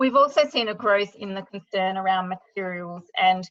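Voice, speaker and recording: A woman's bright, sharp voice at medium pitch, with an Australian accent, ordinary pitch variation and a moderate pace. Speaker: sustainability consultant. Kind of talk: webinar presentation.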